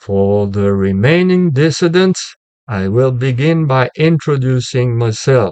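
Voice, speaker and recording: With a French accent, a man talks at a fairly slow pace, his medium-pitched voice carrying lively intonation. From France. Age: 70s. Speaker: retired philosophy teacher. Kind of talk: lecture. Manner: halting; formal.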